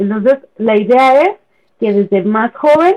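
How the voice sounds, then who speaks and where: Her intonation is lively. The woman speaks at a fairly high pitch. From Chihuahua, northern Mexico. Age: 30s. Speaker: feminist page administrator. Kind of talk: casual chat.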